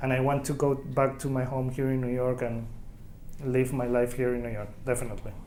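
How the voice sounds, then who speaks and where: A man with a Chilean Spanish accent speaks at a fairly quick pace in a monotone, flat intonation. There is audible room echo and noticeable background noise. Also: medium pitch for a man. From Chile, Santiago and Concepcion. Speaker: immigrant oral history interviewee. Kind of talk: oral history interview. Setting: community center. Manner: halting.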